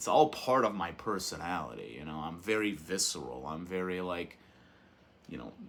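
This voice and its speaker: Loud and very deep in pitch, a man talks with vocal fry and ordinary pitch variation. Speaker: YouTuber reviewing movies and physical media. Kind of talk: casual monologue to camera. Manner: animated.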